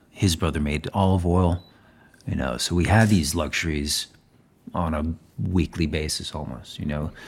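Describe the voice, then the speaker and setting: A man's very deep, low voice with vocal fry, ordinary pitch variation and a moderate pace. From Spain (Zaragoza). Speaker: chef and celebrity nutritionist. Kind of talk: casual chat. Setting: at guest's home.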